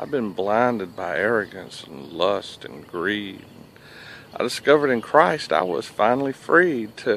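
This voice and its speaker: Speaking with a Southern US accent at a fairly slow pace, a man uses a medium pitch with very wide pitch swings, the sound dry with no echo and light background noise. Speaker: military veteran. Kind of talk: spoken word poetry performance. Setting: coffee shop. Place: waterside. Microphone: phone near.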